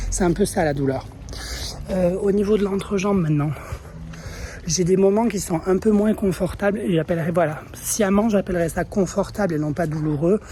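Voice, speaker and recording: A woman with a medium pitch speaks at a moderate pace, with ordinary pitch variation. She leaves long, frequent pauses, and background noise is noticeable. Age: 30s. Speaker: vlogger. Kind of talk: vlog. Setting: outdoors in the street. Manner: hesitant, many fillers.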